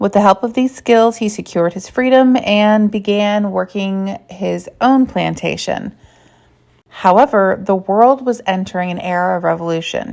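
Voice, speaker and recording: Her voice unremarkable, a woman speaks at a moderate pace and medium pitch with ordinary pitch variation. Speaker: history content creator. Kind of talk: educational monologue. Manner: casual with fillers.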